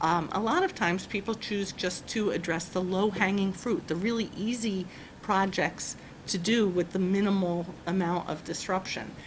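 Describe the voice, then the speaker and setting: A woman talks at a moderate pace and medium pitch in a somewhat breathy voice. Her intonation is fairly even and her loudness very even. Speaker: energy efficiency panel presenter. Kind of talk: panel presentation. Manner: hesitant, many fillers and restarts.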